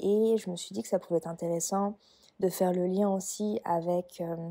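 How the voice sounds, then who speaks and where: Recorded with a dry, close sound and no echo, a woman with a dark, mellow tone talks at a fairly slow pace with fairly even intonation. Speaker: podcast host, energy guide and Reiki practitioner. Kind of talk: casual podcast monologue. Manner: hesitant, many fillers.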